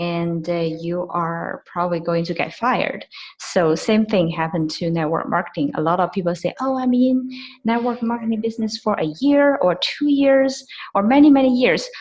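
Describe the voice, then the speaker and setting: A woman talks at a moderate pace with a non-native accent. Her pitch is medium and her intonation lively. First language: not English. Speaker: network marketing associate. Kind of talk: team call testimony. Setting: video call. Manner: halting, many fillers.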